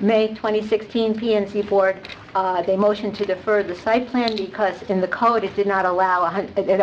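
Flat, monotone delivery from a woman at a moderate pace, with light background noise. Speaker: resident speaking at public comment. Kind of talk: public comment. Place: hall. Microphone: podium.

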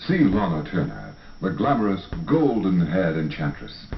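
A man's voice with very wide pitch swings, audible room echo and light background noise. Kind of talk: movie trailer. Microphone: old recording.

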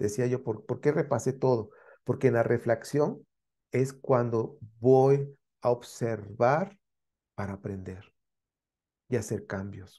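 Speaking very slowly with long, frequent pauses, a man with a Mexican accent has a dark, mellow, somewhat breathy tone and ordinary pitch variation over a quiet background. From Mexico. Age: 60s. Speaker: spiritual teacher; course teacher. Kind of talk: lecture. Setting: live stream. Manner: halting.

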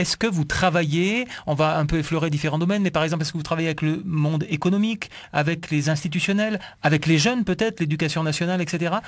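The man's pitch is high, with ordinary variation. He talks at a very fast pace against a quiet background. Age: 40s. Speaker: radio host. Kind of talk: radio interview. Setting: radio studio. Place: studio. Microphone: studio mic.

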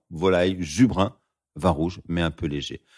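Moderate-paced male speech, captured in a very clean recording against a silent background. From France, Lyon region. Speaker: sommelier. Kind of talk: conversational wine tutorial.

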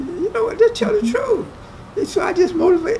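Over light background noise, a man with an American accent talks very fast, his pitch swinging very widely. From West Virginia, US. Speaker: resort worker. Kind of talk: casual interview. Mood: proud, storytelling. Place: hall. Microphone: camera far.

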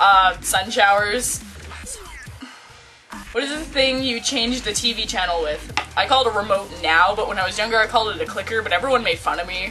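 Over clear background music, a woman with a Quebec accent talks at a fairly quick pace, her fairly high pitch showing ordinary variation. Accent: English-speaking Quebec Canadian. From Quebec, Canada. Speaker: vlogger. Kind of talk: casual talk to camera. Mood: playful, giggly. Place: home room. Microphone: webcam.

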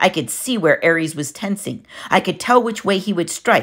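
Here is a natural reading voice.

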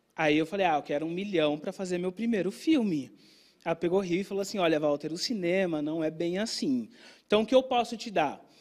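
A man's high voice in an animated tone at a fairly quick pace, with ordinary pitch variation and a quiet background. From Brazil. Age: 30s. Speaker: filmmaker and content creator; content creator. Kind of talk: talk to an audience. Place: stage. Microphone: handheld.

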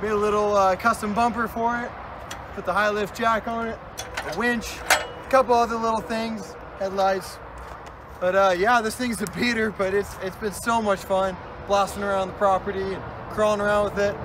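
Over noticeable background noise, a man with a high pitch talks at a moderate pace in a monotone, flat intonation, with a dry sound and no echo. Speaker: vehicle vlogger. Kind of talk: casual vlog chat. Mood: wistful farewell. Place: open country. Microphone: camera far.

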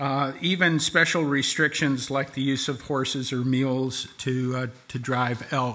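Very slowly, a man talks with fairly even intonation. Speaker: presenter. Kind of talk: formal presentation of regulations. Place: hall. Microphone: podium.

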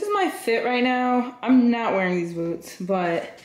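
A woman speaks with audible room echo. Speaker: vlogger. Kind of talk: casual vlog chat. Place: home room. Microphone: phone near.

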